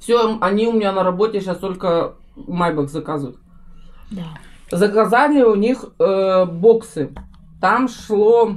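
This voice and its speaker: Her speech very slow, the woman leaves long pauses at frequent intervals. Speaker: family food vlogger. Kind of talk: casual vlog chat. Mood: cheerful, relaxed. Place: home room. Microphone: camera far.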